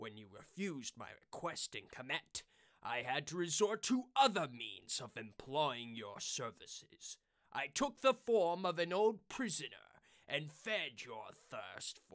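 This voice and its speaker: The voice moves at a fairly slow pace in a smug, menacing tone, with very wide pitch swings and big swings in loudness. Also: man, fairly high pitch for a man. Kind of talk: fan voice-over redub of a game villain. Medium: solo performance. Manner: smug, gloating, menacing.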